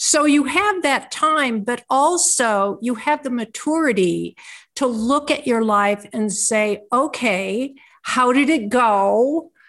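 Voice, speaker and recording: A woman talks at a very slow pace. Her high voice has lively intonation. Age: 70s. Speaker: author and aging teacher. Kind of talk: interview.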